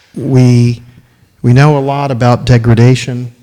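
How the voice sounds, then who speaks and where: A man's very slow, monotone delivery at medium pitch, dark and mellow in tone, with flat intonation. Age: 60s. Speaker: filmmaker and ecological restoration speaker. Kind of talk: lecture. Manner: halting.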